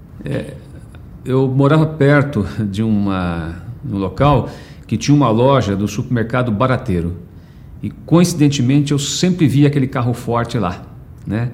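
Amid noticeable background noise, a man at a medium pitch speaks at a fairly slow pace with long, frequent pauses. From Brazil, São Paulo. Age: 50s. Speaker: HR director. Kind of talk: personal life story interview. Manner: halting, with many fillers.

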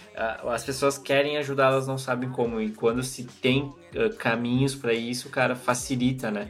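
The speaker talks in a normal speaking voice, keeping to a moderate pace. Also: man. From southern Brazil (Chapecó, Santa Catarina). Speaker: podcast host. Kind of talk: casual interview chat.

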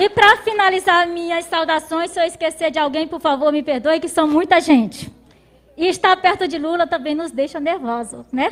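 A woman talks at an extremely high pitch with ordinary pitch variation. Her pace is moderate. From Brazil, Maranhão interior. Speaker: rural union leader, farmer. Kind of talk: speech of welcome.

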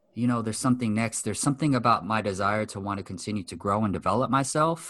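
A man's plain, everyday voice, medium in pitch with ordinary pitch variation, over a quiet background. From US West Coast, Los Angeles. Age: 30s. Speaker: mindset coach. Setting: video call.

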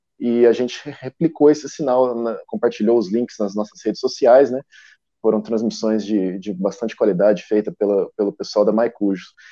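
Heard against a quiet background, the dark, mellow tone comes through dry and close with no echo, at a moderate pace with ordinary pitch variation. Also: man, medium pitch for a man. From Brazil, southern Minas Gerais (Poços de Caldas). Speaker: football club press officer. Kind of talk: casual chat.

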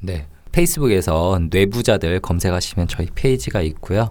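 Speaking at a fairly quick pace, a man with a very deep, low pitch comes through on a very clean recording with a silent background. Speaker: psychology panelist.

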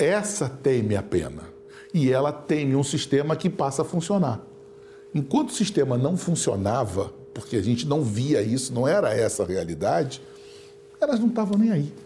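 With music in the background, a man at a fairly high pitch makes very wide pitch swings while keeping his loudness very even. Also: moderate pace. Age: 60s. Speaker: public prosecutor. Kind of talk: studio interview. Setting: studio.

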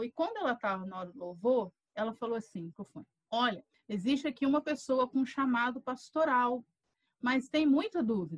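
A woman's fairly high, unremarkable speaking voice at a moderate pace, with lively intonation and a dry, close sound with no echo. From Rio de Janeiro state, Brazil (Volta Redonda). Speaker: pastor and professor. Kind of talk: casual interview chat.

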